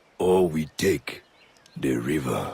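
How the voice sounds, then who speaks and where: A man puts on a character voice that is raspy. His pitch is very deep and low. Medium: video game. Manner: cold, menacing.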